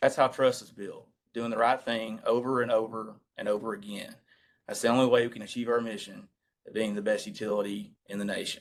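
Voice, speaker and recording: Speaking fairly quickly in a strong Southern accent, a man with a medium pitch stays monotone and flat while his loudness swings widely. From US South, East Tennessee. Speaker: utility treasurer. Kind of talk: committee meeting briefing. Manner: formal.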